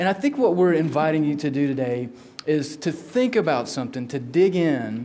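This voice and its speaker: A man with a Southern US accent talks in a fairly high pitch amid noticeable background noise and audible room echo. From South Carolina, US South. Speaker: law researcher. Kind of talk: lecture.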